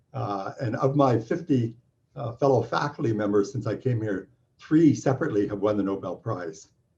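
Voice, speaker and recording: A man with a Canadian accent speaks at a medium pitch in a dark, mellow, somewhat breathy tone with lively intonation. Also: moderate pace. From Canada. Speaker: physics professor. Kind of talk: welcome talk. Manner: halting, many fillers.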